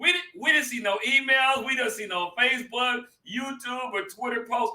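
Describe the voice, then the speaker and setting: A man with an extremely high pitch speaks in a raised, projected voice at a moderate pace. His tone is animated and his intonation lively. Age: 50s. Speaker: pastor and talk show host. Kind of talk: casual chat.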